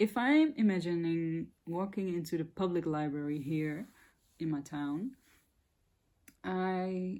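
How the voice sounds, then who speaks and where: A woman speaks in a dark, mellow tone with a Dutch accent, her pitch fairly low and its variation ordinary. The recording is very clean, with a silent background. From Netherlands. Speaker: spiritual content creator. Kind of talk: casual monologue to camera. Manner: hesitant, searching for words.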